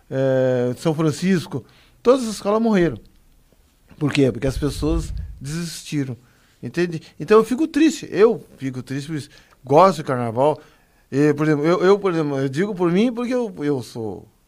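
A man with a fairly high voice speaks at a moderate pace, leaving long, frequent pauses. His pitch swings very widely. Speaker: guest, carnival fan and former radio worker. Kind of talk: radio interview.

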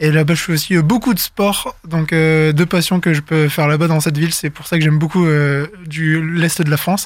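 A man has an ordinary speaking voice at a fairly high pitch and moderate pace. He talks with hardly any pauses and fairly even intonation. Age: 20s. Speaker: guest interviewee. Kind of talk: casual interview. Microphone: good studio microphone.

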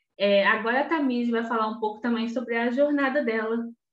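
A woman speaks in an ordinary speaking voice, fairly high-pitched, at a moderate pace with fairly even intonation. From Rio de Janeiro state, Belford Roxo. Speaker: teacher and researcher, podcast co-host. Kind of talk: casual chat.

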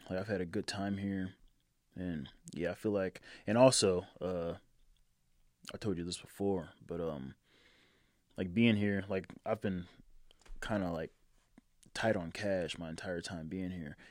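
With long, frequent pauses, a man talks in a very deep, low voice with fairly even intonation on a very clean recording with a silent background. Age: 20s. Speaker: podcast guest. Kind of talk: casual chat.

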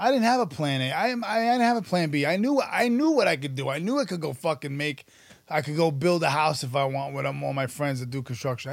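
Captured in a very clean recording with a silent background, a man with an ordinary speaking voice talks at a fairly high pitch and a fairly quick pace with lively intonation. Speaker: actor and writer. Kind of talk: casual interview chat.

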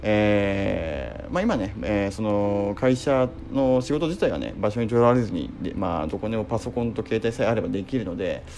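Lively intonation comes at a moderate pace with hardly any pauses, over noticeable background noise. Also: man, fairly low pitch for a man. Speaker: company CEO and podcast host. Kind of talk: solo talk radio monologue. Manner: polite, filler-heavy (えー, まあ); impassioned.

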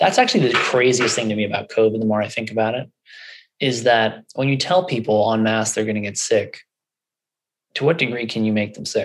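In an American accent, a man with an unremarkable speaking voice talks at a fairly quick pace, medium pitch and ordinary pitch variation. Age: 30s. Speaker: functional medicine doctor. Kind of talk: interview conversation.

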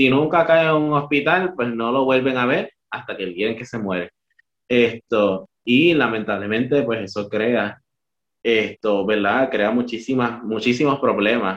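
A man speaks at a fairly slow pace in an unremarkable speaking voice, medium in pitch with ordinary pitch variation. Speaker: podcast host. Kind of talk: casual chat.

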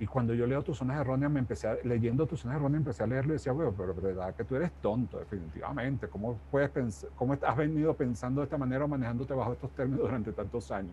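The voice is dark and mellow with vocal fry and very wide pitch swings. It moves at a very fast pace with hardly any pauses. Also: man, medium pitch for a man. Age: 60s. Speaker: life coach and author. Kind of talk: interview.

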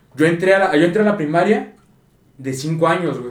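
This man's voice sits high in pitch and carries a Mexican accent. He talks at a fairly quick pace. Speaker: podcast co-host. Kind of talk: casual chat.

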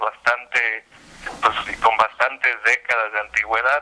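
Fairly slow delivery in a dry, close recording with no echo. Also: man. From Puerto Vallarta area, Mexico. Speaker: YouTube content creator, dubbing enthusiast. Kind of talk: radio interview.

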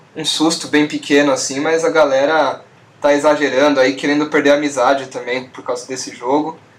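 A fairly high-pitched man's voice with fairly even intonation and noticeable background noise. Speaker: podcast host. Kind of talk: casual chat.

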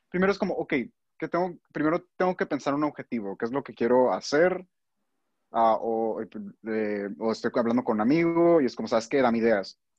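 A man speaks at a moderate pace in a medium pitch. His pitch swings very widely. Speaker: student. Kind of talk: casual chat. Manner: halting.

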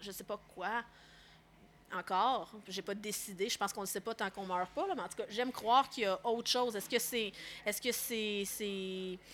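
A woman with a plain, everyday voice speaks at a moderate pace, her pitch medium and her pitch variation ordinary. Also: very clean recording, silent background. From Quebec, Laurentides. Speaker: film director. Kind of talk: casual interview.

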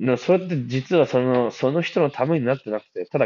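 His pace is fairly quick, with lively intonation. The speaker is a man with a medium pitch. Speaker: podcast host. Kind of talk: casual monologue. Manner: hesitant, many fillers.

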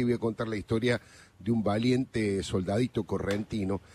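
Here a man talks with a Rioplatense accent. His pace is moderate. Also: dry, close sound with no echo. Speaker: radio columnist. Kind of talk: casual chat.

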